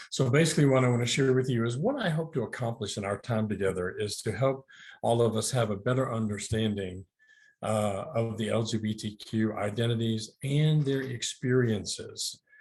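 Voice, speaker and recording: Over a quiet background, a man with a medium pitch and a somewhat breathy voice talks at a moderate pace with ordinary pitch variation. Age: 60s. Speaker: licensed counselor and addiction therapist. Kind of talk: webinar presentation. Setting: virtual talk. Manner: hesitant, many fillers.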